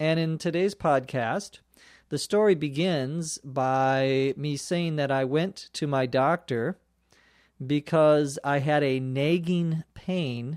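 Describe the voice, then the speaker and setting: This man has a Minnesota accent and a fairly high pitch with ordinary variation. He speaks at a very slow pace. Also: very clean recording, silent background. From Minnesota, US Midwest. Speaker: English teacher. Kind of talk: language lesson explanation. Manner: clear, explanatory, spells out words.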